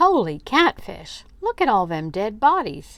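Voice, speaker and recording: At a fairly slow pace, someone talks in a squeaky, put-on character voice. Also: woman, fairly high pitch for a woman. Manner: frightened, hiding his eyes.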